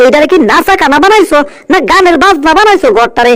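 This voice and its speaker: Extremely high in pitch, a put-on character voice moves at a moderate pace. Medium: fan dub. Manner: blustering, loud.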